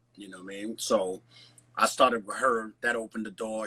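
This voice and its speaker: Noticeable background noise sits under the audio. The man talking has an American accent. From Nigeria, then New York City from age 12. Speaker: celebrity fitness trainer, former pro boxer. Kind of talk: casual chat. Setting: live video stream. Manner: animated.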